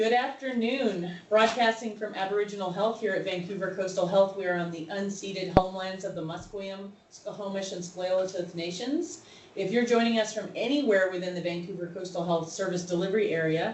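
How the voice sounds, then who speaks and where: A woman with an American accent talks fairly quickly, hardly pausing, with ordinary pitch variation. Noticeable background noise and audible room echo fill the recording. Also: medium pitch for a woman. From North Carolina, US. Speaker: webinar host. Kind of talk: webinar interview.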